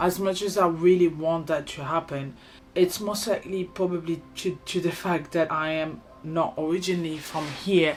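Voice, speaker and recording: A woman speaks in a French accent with a fairly low pitch. Her pace is moderate and her intonation fairly even. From France. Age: 20s. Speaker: vlogger. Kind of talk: personal vlog.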